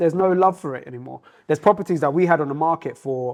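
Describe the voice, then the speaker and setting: Speaking at a very fast pace, a man with a London accent has a fairly high pitch. His pitch variation is ordinary. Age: 30s. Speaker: restaurant owner. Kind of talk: casual interview chat. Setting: in his restaurant.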